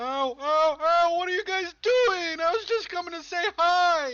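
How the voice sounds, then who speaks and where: An extremely high-pitched put-on character voice at a moderate pace. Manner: goofy nerdy.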